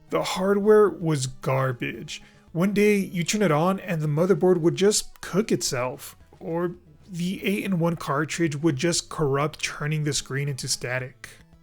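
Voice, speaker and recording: Background music can be heard. The talking goes at a fairly slow speed. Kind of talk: personal storytelling narration. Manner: rough, inexperienced script read.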